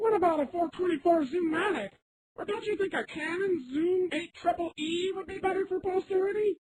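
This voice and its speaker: An extremely high-pitched cartoonish character voice at a moderate pace. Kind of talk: cartoon hero. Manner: earnest, upbeat.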